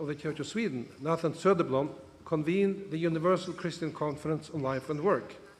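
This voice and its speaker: High pitch from a man, with audible room echo. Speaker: bishop. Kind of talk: conference speech.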